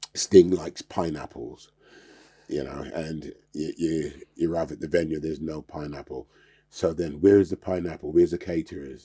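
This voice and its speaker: A man talks at a moderate pace in a very deep, low pitch with vocal fry and a dark, mellow tone. His intonation stays fairly even while his loudness swings widely. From England, born in Jamaica, moved in childhood. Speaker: karate master, former music tour worker. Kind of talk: casual chat.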